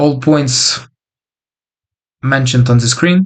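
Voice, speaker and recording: Fairly high male voice, its pitch rising and falling in an ordinary way. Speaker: freelance developer and online coach. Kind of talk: casual vlog monologue. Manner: hesitant with many fillers.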